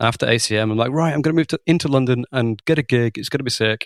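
In a Lancashire accent, a man speaks at a fairly quick pace with ordinary pitch variation, the sound dry and close with no echo. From Lancashire, England. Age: 30s. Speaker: drummer and musical director. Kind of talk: casual interview chat. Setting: remote call.

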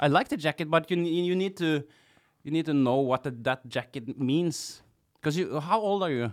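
In a Norwegian accent, a man talks at a moderate pace with a fairly high pitch and ordinary pitch variation, on a very clean recording with a silent background. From Norway, Kongsberg. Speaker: clown and sound engineer. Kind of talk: casual chat. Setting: studio.

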